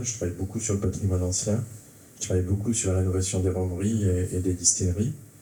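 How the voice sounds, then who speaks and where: A man's somewhat breathy, dark, mellow voice, fairly low in pitch, with flat, monotone intonation and audible room echo. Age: 60s. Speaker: architect. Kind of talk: round-table discussion. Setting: theatre stage with audience. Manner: halting, many hesitations.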